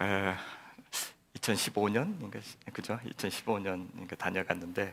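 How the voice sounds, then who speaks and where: In a Jeolla accent, a fairly low-pitched man talks at a moderate pace on a very clean recording with a silent background. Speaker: guest pastor. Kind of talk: sermon.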